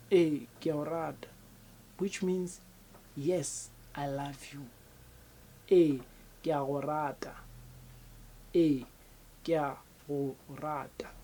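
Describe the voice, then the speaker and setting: Speaking very slowly with long, frequent pauses, a woman with a South African accent and a very deep, low pitch uses a dark, mellow tone and fairly even intonation, her loudness rising and falling sharply. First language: Sepedi. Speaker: language teacher. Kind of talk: tutorial. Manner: repetitive, slow for learners.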